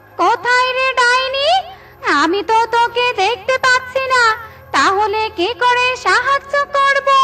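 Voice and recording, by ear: A woman does a cartoonish character voice at an extremely high pitch, speaking at a fairly slow pace.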